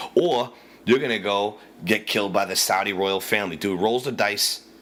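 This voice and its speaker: With a Boston accent, the speaker moves at a fairly quick pace. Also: man. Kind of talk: casual rant to camera. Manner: profane, animated.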